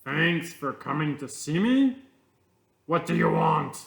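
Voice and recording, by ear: A loud, gruff put-on character voice from a man, fairly high in pitch and at a fairly slow pace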